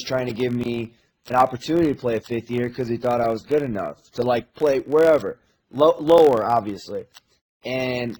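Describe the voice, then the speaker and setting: A man with an American accent and an unremarkable speaking voice, medium in pitch, moderate in pace, with ordinary pitch variation. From US Midwest. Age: 20s. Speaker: college basketball assistant coach. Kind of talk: casual chat.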